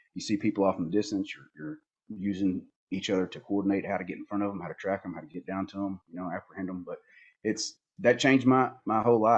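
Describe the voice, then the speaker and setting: A man with a Southern US accent talks at a fairly low pitch with ordinary pitch variation. The background is quiet. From Northeast Arkansas, US South. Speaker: border patrol agent and outdoor photographer. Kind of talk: casual podcast interview.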